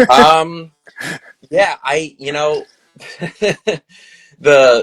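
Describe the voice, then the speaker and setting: Dry, close sound with no echo, a man's fairly high voice with fairly even intonation. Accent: Long Island. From Long Island, New York. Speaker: filmmaker. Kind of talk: casual interview. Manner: halting, many fillers.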